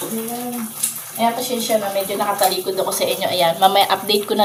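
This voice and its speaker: A soft-spoken woman with fairly even intonation, against noticeable background noise. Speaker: vlogger. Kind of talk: casual vlog narration while cooking. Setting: kitchen, cooking.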